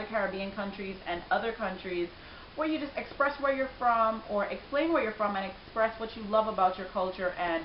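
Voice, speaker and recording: With audible room echo and noticeable background noise, a woman talks at a fairly quick pace in a fairly high pitch with ordinary pitch variation. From Belize (Belize City). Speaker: vlogger. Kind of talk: casual vlog talk.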